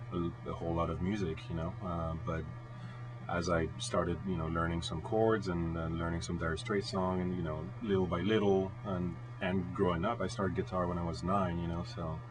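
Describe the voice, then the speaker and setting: A man with a very deep, low voice speaks at a moderate pace over noticeable background noise and audible room echo. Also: ordinary pitch variation. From France (Bordeaux). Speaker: rock guitarist. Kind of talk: radio interview. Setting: radio studio. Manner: hesitant, many fillers.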